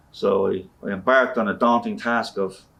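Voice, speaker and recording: A man speaks in a Dublin accent. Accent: Dublin Irish. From Ireland, Dublin (Ballyfermot). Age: 60s. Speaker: guitarist and customer. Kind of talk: interview. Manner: conversational, peppered with 'you know'.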